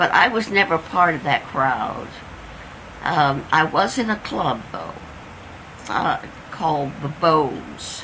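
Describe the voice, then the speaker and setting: Over noticeable background noise, a woman speaks very slowly with long, frequent pauses. Her voice is very deep and low in pitch, yet her intonation is lively. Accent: Midwestern American. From Indiana. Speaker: oral history interviewee. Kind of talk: oral history interview. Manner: halting.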